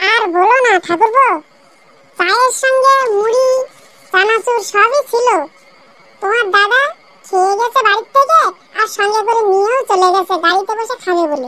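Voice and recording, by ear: A squeaky, cartoonish character voice. It moves along at a moderate pace. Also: woman, extremely high pitch for a woman.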